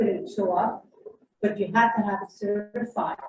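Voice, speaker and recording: A woman talks at a moderate pace in a dark, mellow, somewhat breathy voice. Her pitch is medium and her intonation monotone and flat. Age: 70s. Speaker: audience member at a community forum. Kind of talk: public Q&A comment. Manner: emphatic.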